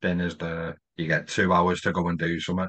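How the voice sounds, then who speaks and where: A man with a northwest English accent speaks at a moderate pace in a very deep, low voice with a bright, sharp tone, the sound dry and close with no echo against a quiet background. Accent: north-west English. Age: 30s. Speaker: podcast host. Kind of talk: casual chat.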